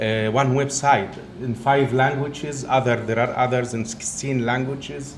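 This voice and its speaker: With audible room echo and noticeable background noise, a man's medium-pitched voice moves at a moderate pace in a monotone, flat intonation. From Egypt. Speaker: professor. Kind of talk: lecture.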